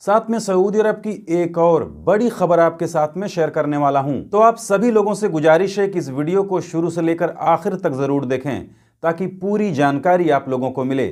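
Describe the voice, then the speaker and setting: Fairly slow speech with hardly any pauses and ordinary pitch variation, on a very clean recording with a silent background. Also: man, high pitch for a man. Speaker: news vlogger. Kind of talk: news explainer vlog.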